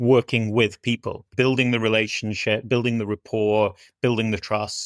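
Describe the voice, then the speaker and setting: A voice with a northwest English accent comes through a very clean recording with a silent background and a dry, close sound with no echo. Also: man. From northwest England. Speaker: business executive. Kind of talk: podcast interview.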